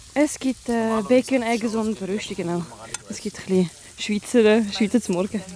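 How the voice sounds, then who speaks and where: A woman with a fairly high pitch talks at a moderate pace, using ordinary pitch variation, while noticeable background noise plays behind her. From Switzerland, trilingual. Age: 20s. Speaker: soldier. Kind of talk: field interview. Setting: outdoors. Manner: hesitant.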